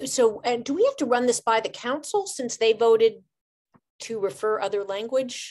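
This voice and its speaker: This is a plain, everyday voice: a woman with a fairly high pitch and ordinary pitch variation. She speaks at a moderate pace against a quiet background. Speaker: committee member. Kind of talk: public meeting. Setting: video call. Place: home room. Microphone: video call.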